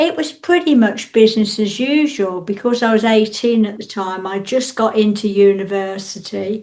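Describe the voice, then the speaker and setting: With an English accent, a woman with a fairly high pitch speaks at a moderate pace with hardly any pauses and ordinary pitch variation. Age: 60s. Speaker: interviewee with visual impairment. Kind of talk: interview testimony.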